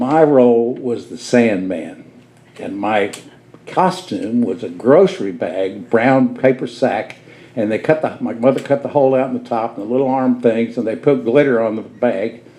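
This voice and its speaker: With an American accent, a man speaks at a medium pitch with ordinary pitch variation against noticeable background noise. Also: moderate pace, big swings in loudness. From southern Indiana. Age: 80s+. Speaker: studio owner and music educator. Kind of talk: storytelling talk to live audience. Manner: animated.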